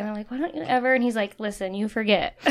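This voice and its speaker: A woman speaks in a plain, everyday voice with an American accent. Her pitch is fairly high, with ordinary pitch variation. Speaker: remodeling business owner. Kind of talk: casual chat.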